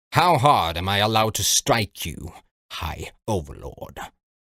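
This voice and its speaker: Putting on a growling character voice, a man speaks at a moderate pace with a fairly low pitch and very wide pitch swings. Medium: read story.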